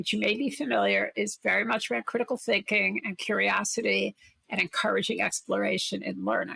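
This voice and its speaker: A woman with a Brooklyn accent speaks at a moderate pace, the sound dry and close with no echo. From Brooklyn, New York City. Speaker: corporate innovation executive and investor. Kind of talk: interview conversation.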